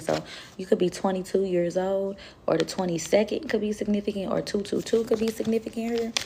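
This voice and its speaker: A woman speaks in a calm tone at a moderate pace. Her pitch varies in an ordinary way over noticeable background noise. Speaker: tarot reader. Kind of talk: tarot reading livestream, casual.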